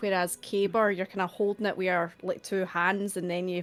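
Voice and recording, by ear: Speaking at a moderate pace, a woman uses a fairly low pitch with little pitch movement.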